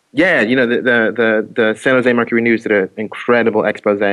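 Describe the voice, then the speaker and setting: Here is a man with an American accent and a normal speaking voice, pitched in the medium range. He keeps a fairly quick pace and fairly even intonation against a quiet background. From Oakland, California. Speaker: activist. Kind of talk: casual interview.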